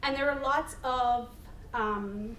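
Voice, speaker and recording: With a Manitoban accent, a woman speaks in a high pitch amid audible room echo and noticeable background noise. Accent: Canadian (Manitoba). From northern Manitoba, Canada. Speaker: harm reduction advocate. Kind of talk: panel talk. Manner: halting, many fillers.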